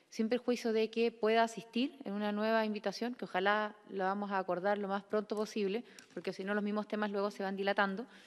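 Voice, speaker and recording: The woman's intonation is monotone and flat. She speaks at a fairly quick pace with hardly any pauses. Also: medium pitch for a woman. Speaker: committee chair, senator. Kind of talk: chairing a hearing.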